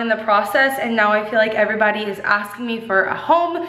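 A woman talks at a very fast pace with ordinary pitch variation. Room echo is audible around her. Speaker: lifestyle vlogger. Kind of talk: casual vlog chat. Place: empty room. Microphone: phone near.

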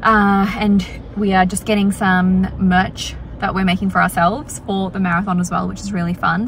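A woman speaks at a moderate pace with monotone, flat intonation, the sound dry with no echo and light background noise. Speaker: vlogger. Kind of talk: casual vlog chat. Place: car. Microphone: phone near.

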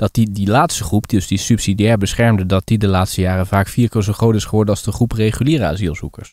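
A man's very fast, fairly low-pitched speech with hardly any pauses. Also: ordinary pitch variation. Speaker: podcast co-host. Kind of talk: casual chat. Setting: remote call.

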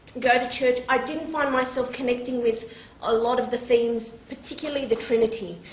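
A woman's high-pitched voice in an Australian accent, monotone and flat in intonation, with audible room echo. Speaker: teacher and convert speaker. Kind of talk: public talk, testimony. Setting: stage with microphone and audience. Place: hall. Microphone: camera far.

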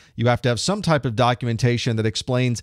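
With ordinary pitch variation, a man speaks over a quiet background in a dry sound with no echo. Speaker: IT instructor. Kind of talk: lecture. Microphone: studio mic.

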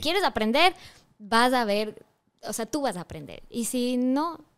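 A woman at a moderate pace, her loudness swinging widely, against a quiet background. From Ecuador. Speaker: voice over artist and singer. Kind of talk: interview answer. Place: studio. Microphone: studio mic.

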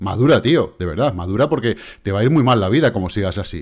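On a very clean recording with a silent background, a man speaks very fast in an animated tone, his pitch swinging very widely. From Spain. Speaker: crypto trading youtuber. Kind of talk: casual monologue with chart analysis.

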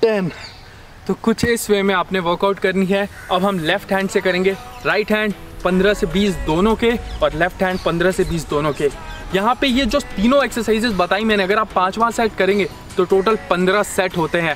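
A man's high voice at a fairly slow pace, with ordinary pitch variation, a dry sound with no echo and faint music in the background. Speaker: fitness trainer. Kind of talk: workout tutorial with rep counting.

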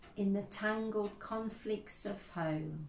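A woman speaks very slowly in a solemn, somewhat breathy voice with ordinary pitch variation. Audible room echo and light background noise surround her. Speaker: service leader. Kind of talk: church service, liturgy and prayers; fervent intercessory prayer. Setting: church service, online. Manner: earnest, solemn, slow and heartfelt; warm, welcoming. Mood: calm, solemn. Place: home room. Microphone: phone near.

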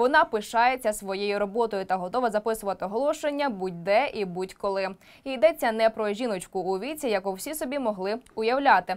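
A normal speaking voice from a woman, fairly high in pitch, at a fairly quick pace with lively intonation and hardly any pauses. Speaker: news presenter. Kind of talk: news report narration. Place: studio. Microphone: lapel.

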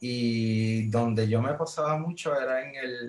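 Speaking at a very slow pace, a man with a Puerto Rican accent uses ordinary pitch variation. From Puerto Rico. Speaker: librarian; podcast guest. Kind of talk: casual interview. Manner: halting, repeats words. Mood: relaxed, reminiscing. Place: home room. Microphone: video call.

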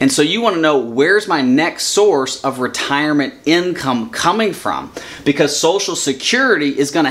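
The voice belongs to a man. His intonation is lively. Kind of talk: lecture. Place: office.

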